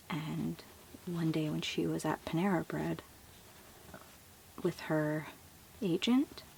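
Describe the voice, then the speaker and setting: Soft-spoken, a woman talks at a very slow pace with long, frequent pauses. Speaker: asmr content creator, first-time. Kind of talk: asmr book show and tell. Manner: soft-spoken, calming.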